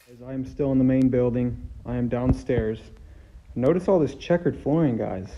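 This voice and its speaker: A man speaks in a dark, mellow tone with ordinary pitch variation. His loudness swings widely. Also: moderate pace. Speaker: urban explorer vlogger. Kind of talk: casual vlog chat. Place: hall. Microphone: phone near.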